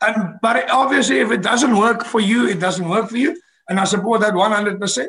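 Speaking in a South African accent, a man's high-pitched voice has a bright, sharp tone, very even loudness and ordinary pitch variation. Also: moderate pace. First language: Afrikaans. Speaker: rock band frontman. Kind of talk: podcast interview. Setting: video call.

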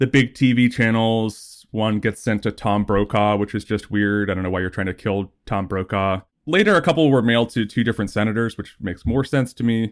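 An unremarkable speaking voice: a man with an American accent, fairly low in pitch, talks at a fairly quick pace with hardly any pauses and ordinary pitch variation, in a very clean recording with a silent background. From New Jersey. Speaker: writer. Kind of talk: casual chat.

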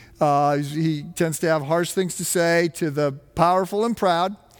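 Over music in the background, a man with an American accent speaks at a high pitch and a moderate pace. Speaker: pastor. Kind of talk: sermon. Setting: church. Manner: hesitant, many fillers.

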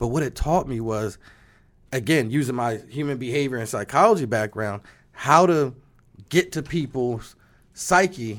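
A man talks at a medium pitch and a moderate pace with an American accent and ordinary pitch variation. The recording is very clean, with a silent background. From US Northeast, Trenton, New Jersey. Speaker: insurance agency leader. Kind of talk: interview. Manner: animated.

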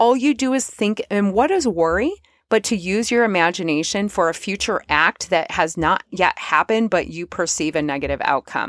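Hardly pausing, a woman with an ordinary speaking voice and medium pitch talks at a moderate pace with lively intonation, captured in a dry, close sound with no echo on a very clean recording with a silent background. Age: 40s. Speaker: podcast host. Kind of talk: solo podcast monologue.

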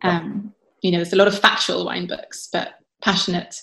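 A woman with a southern English accent talks at a fairly low pitch and fairly quick pace, with vocal fry and monotone, flat intonation. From southern England, south of London. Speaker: wine writer and winemaker. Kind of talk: casual interview chat.

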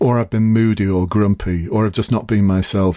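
Talking at a very fast pace, a man with an English accent has a dark, mellow tone and monotone, flat intonation. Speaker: podcast host, police recruitment coach and former police officer. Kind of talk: solo podcast tutorial. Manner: casual.

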